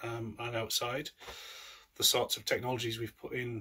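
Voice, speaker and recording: Speaking in a North East England accent, a man has a bright, sharp tone. His pitch is medium and his pace is moderate. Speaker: allotment holder. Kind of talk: casual talk to camera. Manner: hesitant, casual.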